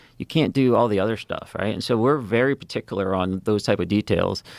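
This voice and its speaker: Recorded dry and close with no echo against a silent background in a very clean recording, a man with a slight New England accent talks at a fairly quick pace with a fairly low pitch. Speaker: former navy fighter pilot. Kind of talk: interview conversation. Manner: halting, many fillers.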